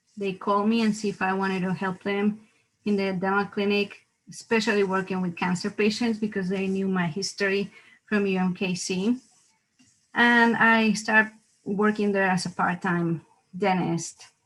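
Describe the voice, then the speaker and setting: In a Mexican accent, the speaker talks at a moderate pace with flat, monotone intonation, in a very clean recording with a silent background. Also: woman, medium pitch for a woman. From Mexico, Mexico City. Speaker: dentist. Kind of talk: interview.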